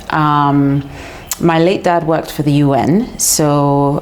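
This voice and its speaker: With noticeable background noise behind her, a woman speaks at a very deep, low pitch with fairly even intonation. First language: French. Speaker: radio presenter and media personality. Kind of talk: interview conversation.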